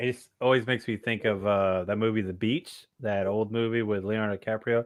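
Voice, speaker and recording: A man with an American accent, fairly low in pitch, at a fairly quick pace. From US South, Tennessee (Maynardville). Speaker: motorcycle channel host, live streamer. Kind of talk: casual chat. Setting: live stream with remote co-host. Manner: animated.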